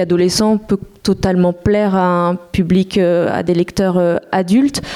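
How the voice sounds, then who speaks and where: A woman speaks in a monotone, flat intonation. Noticeable background noise is present. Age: 30s. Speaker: comics editor. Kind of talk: panel discussion.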